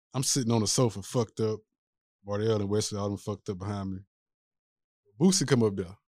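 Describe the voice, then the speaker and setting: In a Louisiana accent, a man talks very fast yet leaves long, frequent pauses, his intonation fairly even. His voice is fairly low with a dark, mellow tone, and the recording is very clean with a silent background. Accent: Louisiana Southern. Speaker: podcast host. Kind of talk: casual chat.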